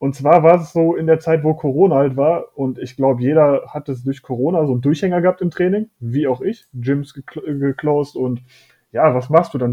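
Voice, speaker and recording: With an ordinary speaking voice, a man talks at a moderate pace, his pitch fairly high and his pitch variation ordinary. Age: 20s. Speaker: fitness coaching client. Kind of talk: casual interview chat.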